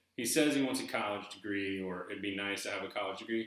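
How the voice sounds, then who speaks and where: Over audible room echo, a man talks at a fairly quick pace with a slight Southern US accent. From eastern North Carolina, US South. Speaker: YouTuber discussing treasure hunt book. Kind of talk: casual video monologue. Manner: halting, repeating words.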